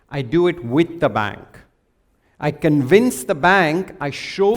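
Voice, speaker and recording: In an ordinary speaking voice, a man talks at a fairly slow pace with lively intonation on a very clean recording with a silent background. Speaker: financial crime compliance executive. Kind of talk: conference presentation.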